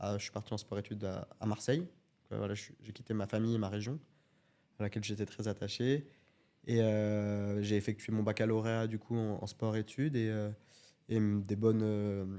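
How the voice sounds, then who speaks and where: Pausing long and often, a man speaks in a fairly low pitch with a dark, mellow tone and fairly even intonation. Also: moderate pace. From France, Alps (Grésivaudan valley near Grenoble). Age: 20s. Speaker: judoka. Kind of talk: interview.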